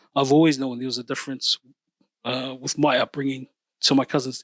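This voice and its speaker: In a dry, close sound with no echo, a man with a New Zealand accent speaks at a fairly quick pace and a medium pitch. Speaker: podcast host. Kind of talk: casual chat.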